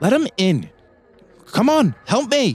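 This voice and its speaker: The speaker puts on a character voice, swinging very widely in pitch. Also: man. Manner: urgent, pleading.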